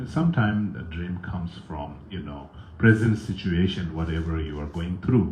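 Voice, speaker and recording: A man's very deep, low, somewhat breathy voice in a strong Tibetan accent, with audible room echo. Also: ordinary pitch variation, moderate pace. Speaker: Buddhist teacher. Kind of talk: dharma talk with viewer comments. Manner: halting, many fillers.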